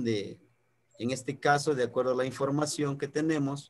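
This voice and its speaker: A man with a Mexican accent. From Mexico, highlands of Guerrero. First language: Nahuatl (speaking Spanish). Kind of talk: online talk, lecture. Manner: halting, many fillers.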